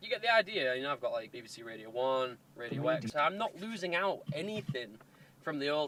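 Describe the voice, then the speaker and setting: A man with a Hull accent speaks at a fairly high pitch, his voice moving in very wide pitch swings. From Hull, England. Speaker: car modifier YouTuber. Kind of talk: casual talk to camera. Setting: in a car.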